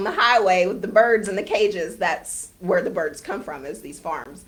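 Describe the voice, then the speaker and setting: Moderately paced speech from a woman with an American accent. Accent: Southern US country accent, held back. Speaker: real estate agent and poultry farmer. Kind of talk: casual interview. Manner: conversational, hesitant fillers and repeats.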